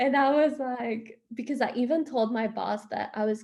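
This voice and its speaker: Her accent is Spanish. The woman talks at a fairly slow rate. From Honduras, Tegucigalpa. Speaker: expat interviewee. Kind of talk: interview. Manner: casual, many fillers.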